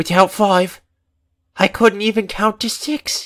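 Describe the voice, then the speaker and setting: In a put-on character voice, a female-sounding voice at a medium pitch speaks at a fairly slow pace, shaky and with a tearful tone. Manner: shaky, tearful.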